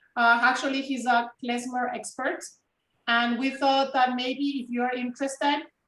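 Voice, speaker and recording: In a high pitch, a woman talks at a moderate pace with monotone, flat intonation. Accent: Spanish. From Peru. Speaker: genealogy project volunteer. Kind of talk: casual chat.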